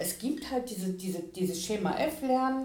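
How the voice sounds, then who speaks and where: Noticeable background noise and audible room echo fill the recording. The woman's pitch varies in an ordinary way. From Ruhr area, Germany (Bochum/Gelsenkirchen). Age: 50s. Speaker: tutor and language support teacher. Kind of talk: interview.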